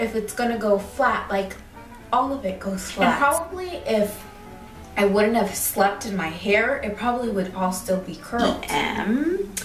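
Faint music plays behind a woman who speaks at a fairly slow pace with ordinary pitch variation, and audible room echo surrounds her voice. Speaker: hair vlogger. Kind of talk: casual vlog chat. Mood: excited, cheerful. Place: home room. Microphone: phone near.

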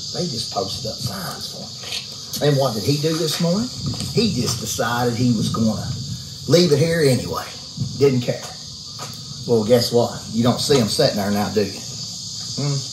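A man's medium-pitched voice at a moderate pace, broken by long, frequent pauses, over noticeable background noise. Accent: American. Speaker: house flipper vlogger. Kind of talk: casual rant vlog. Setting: outdoors. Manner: animated, irritated.

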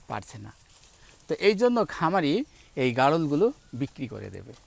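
A man speaks in a normal speaking voice with lively intonation. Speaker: agriculture video host. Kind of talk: on-location farm interview and walkthrough.

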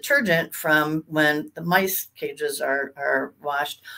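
A woman with a fairly low voice talks at a fairly slow pace. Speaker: sales executive presenting lab design. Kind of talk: webinar presentation. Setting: online webinar. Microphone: webcam.

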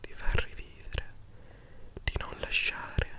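Over light background noise, a man whispers at a very slow pace. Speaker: book reader, commentator. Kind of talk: soft reading and commentary, ASMR-like. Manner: close intimate ASMR whisper. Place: home room. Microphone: studio mic.

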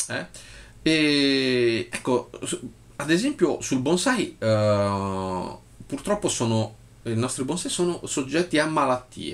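Very slow and full of long, frequent pauses, a man speaks with lively intonation. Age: 40s. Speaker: bonsai professional. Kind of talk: video monologue reading own post. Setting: office. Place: home room. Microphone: phone near.

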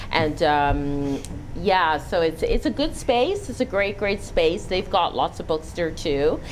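A woman's fairly low voice, very slow pace and lively intonation, over light background noise. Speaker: author. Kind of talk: interview. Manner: halting. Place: studio.

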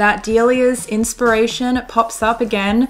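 Over music in the background, a woman speaks at a fairly high pitch with an Australian accent. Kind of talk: fashion lookbook voiceover. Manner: steady pace, clear pronunciation; playful, jokey.

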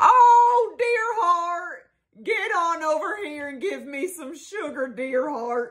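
In a put-on character voice, a female-sounding voice speaks at a very slow pace with an extremely high pitch. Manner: sweet, affectionate, drawling.

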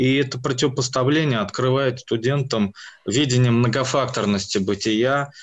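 A man talks in a plain, everyday voice at medium pitch. His intonation is fairly even against a quiet background. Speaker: university department head. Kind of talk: lecture-style presentation. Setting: video call. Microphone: video call.

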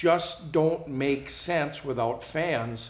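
Audible room echo surrounds a man speaking at a very slow pace with ordinary pitch variation. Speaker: show host. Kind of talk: news read and commentary. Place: studio.

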